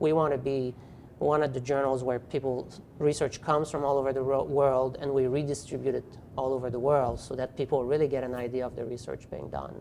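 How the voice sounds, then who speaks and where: In a French accent, the speaker talks at a fairly quick pace with a dark, mellow tone and a monotone, flat intonation. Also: man. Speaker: physical therapy professor and journal editor. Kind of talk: interview. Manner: hesitant with fillers.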